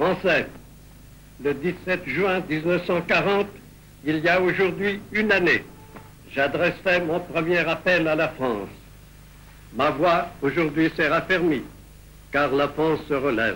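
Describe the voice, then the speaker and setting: At a very slow pace, a man speaks with long, frequent pauses. His pitch is fairly high, with ordinary variation. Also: very even loudness. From France. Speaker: head of state. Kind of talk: political speech to the nation. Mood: grave, exhorting. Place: office. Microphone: old recording.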